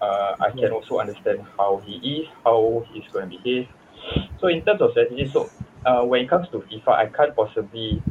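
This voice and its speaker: Moderately paced speech from a man, noticeable noise in the background. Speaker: esports coach. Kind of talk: interview.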